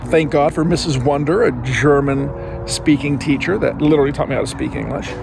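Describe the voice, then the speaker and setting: A man with an American accent talks at a fairly quick pace. Music plays in the background, and the room echo is audible. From San Diego, US. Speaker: real estate investor. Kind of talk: motivational talk to camera. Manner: casual with frequent fillers.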